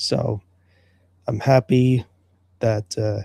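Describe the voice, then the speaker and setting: A man speaks at a very slow pace, somewhat breathy. The sound is dry and close with no echo, his tone dark and mellow. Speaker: livestream show host. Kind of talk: solo livestream talk. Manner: monotone.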